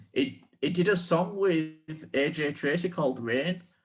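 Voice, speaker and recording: A man in a strong Yorkshire accent, very slow pace, ordinary pitch variation. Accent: thick Yorkshire. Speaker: podcast co-host. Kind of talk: casual chat.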